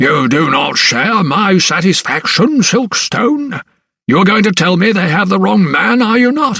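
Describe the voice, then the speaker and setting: Putting on a raspy character voice, a man speaks at a moderate pace with high pitch, very wide pitch swings and very even loudness. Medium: read story. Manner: booming, blustering.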